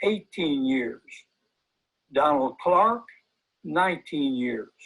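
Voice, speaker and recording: With a Southern US accent, a man speaks at a high pitch. His intonation is lively. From US South, Hillsborough County, Florida. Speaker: volunteer recruiter. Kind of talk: event presentation, reading names.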